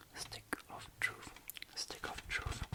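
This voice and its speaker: Someone whispers at a very slow pace with a non-native accent. Background noise is noticeable throughout. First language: German. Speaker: ASMR creator. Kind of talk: ASMR rambling. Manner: whispered; casual, rambling.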